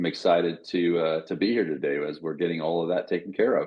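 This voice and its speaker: A man's very deep, low-pitched voice. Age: 60s. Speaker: podcast co-host. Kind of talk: casual chat.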